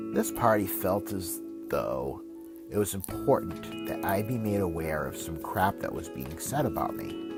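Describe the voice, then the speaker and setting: Over music in the background, a man with a fairly low pitch talks at a fairly slow pace with ordinary pitch variation. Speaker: author narrating his own book. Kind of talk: audiobook-style self-help narration, reading a book chapter.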